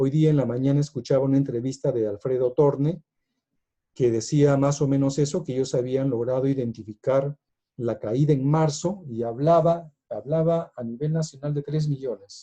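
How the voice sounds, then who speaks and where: The voice has a dark, mellow tone and sounds somewhat breathy. Its intonation is fairly even. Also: man, fairly high pitch for a man, moderate pace. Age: 60s. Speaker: economics speaker. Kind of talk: lecture. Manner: hesitant, many fillers.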